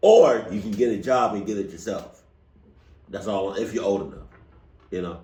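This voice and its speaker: With audible room echo, a man talks at a moderate pace in a somewhat breathy voice, leaving long, frequent pauses. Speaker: reaction video youtuber. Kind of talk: casual chat. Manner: halting.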